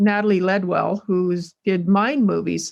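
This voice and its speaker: A woman with a western Canadian accent against a quiet background. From Canada, Alberta. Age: 60s. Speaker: rancher and home cook. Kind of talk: casual storytelling. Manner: halting, with fillers.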